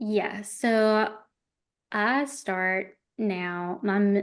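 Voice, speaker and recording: The speaker has an Alabama accent and fairly even intonation. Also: woman. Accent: Southern US (Alabama). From rural Alabama. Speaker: wedding videographer. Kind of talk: podcast interview.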